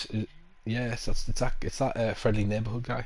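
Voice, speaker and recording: Somewhat breathy and medium in pitch, a man speaks with monotone, flat intonation amid audible room echo. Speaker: gaming streamer. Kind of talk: casual chat. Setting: live stream.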